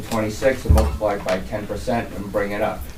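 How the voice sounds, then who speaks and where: With an American accent, a man talks at a moderate pace amid audible room echo and noticeable background noise. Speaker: water department superintendent. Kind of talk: budget presentation at public meeting.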